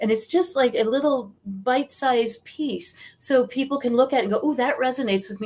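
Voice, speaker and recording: An ordinary speaking voice from a woman, at a fairly quick pace with ordinary pitch variation. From US Midwest, South Dakota. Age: 60s. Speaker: psychic medium and author. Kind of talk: interview.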